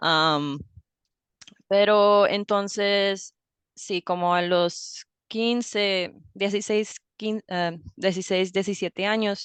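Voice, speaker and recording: The speech is very slow, with long, frequent pauses and fairly even intonation. The sound is dry and close with no echo, over a quiet background. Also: woman, medium pitch for a woman. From US, raised bilingual (father from Ohio, mother Colombian). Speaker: language teacher. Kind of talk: interview conversation.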